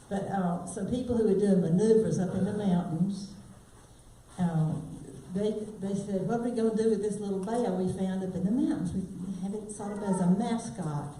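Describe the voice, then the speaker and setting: A woman speaks at a moderate pace with ordinary pitch variation, in a room with audible echo and noticeable background noise. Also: medium pitch for a woman. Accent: South Carolina. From South Carolina, Spartanburg. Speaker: singer. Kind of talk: casual storytelling to live audience. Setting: stage with audience in library.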